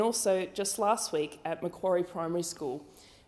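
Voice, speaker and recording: A woman's medium-pitched voice, dark and mellow in tone, at a moderate pace with ordinary pitch variation. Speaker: member of parliament. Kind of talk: parliamentary condolence speech.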